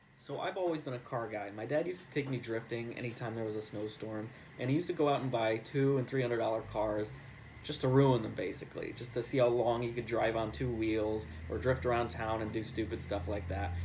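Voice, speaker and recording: A man talks at a fairly quick pace with medium pitch and ordinary pitch variation, and audible room echo surrounds him. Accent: American. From New York. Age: 20s. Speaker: real estate agent and car enthusiast. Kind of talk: contest submission video, casual monologue. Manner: casual, filler-heavy.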